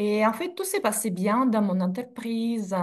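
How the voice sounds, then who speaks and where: With lively intonation and some breathiness, the woman speaks fairly slowly. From Russia (Sverdlovsk region, USSR). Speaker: in-house legal director. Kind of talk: interview, casual chat. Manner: hesitant with fillers.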